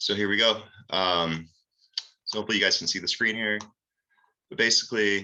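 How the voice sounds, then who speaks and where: A man with a fairly low pitch and a bright, sharp tone talks at a fairly quick pace, keeping fairly even intonation and leaving long, frequent pauses. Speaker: author presenting his physics books. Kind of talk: video presentation walkthrough. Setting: screen-share video recording. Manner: unscripted, with many fillers.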